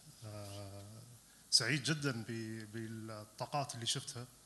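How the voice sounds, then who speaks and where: Bright, sharp tone from a man at a fairly slow pace. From Qatar. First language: Arabic. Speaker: audience member. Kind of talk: audience comment. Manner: halting.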